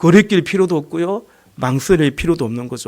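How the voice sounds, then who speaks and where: This man's voice is loud, with a dark, mellow tone. He talks at a fairly quick pace. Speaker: pastor. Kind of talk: sermon.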